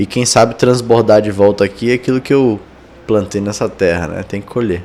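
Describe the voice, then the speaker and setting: At a moderate pace, a man speaks with fairly even intonation and a fairly low pitch. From Amazonas, Brazil. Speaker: tech entrepreneur and investor. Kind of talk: podcast interview.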